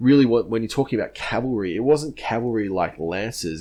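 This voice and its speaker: The background is quiet as a man talks with an Australian accent. His pitch varies in an ordinary way. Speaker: history content creator. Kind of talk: casual Q&A monologue. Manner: casual, many filler words.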